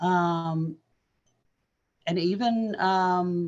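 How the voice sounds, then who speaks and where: A woman speaks with a fairly low pitch. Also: quiet background. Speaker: brain injury survivor and co-host. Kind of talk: casual chat. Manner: halting.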